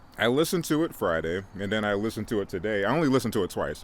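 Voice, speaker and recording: Speaking at a very fast pace, a man uses a fairly low pitch and lively intonation. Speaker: music review vlogger. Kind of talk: casual monologue review. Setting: outdoors. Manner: halting, many fillers; loud. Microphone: mic too close, moved back.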